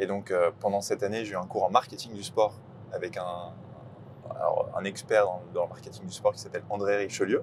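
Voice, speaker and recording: Fairly quick speech with big swings in loudness. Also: man. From Île-de-France, France. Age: 20s. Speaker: sports club ticketing manager. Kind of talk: casual interview.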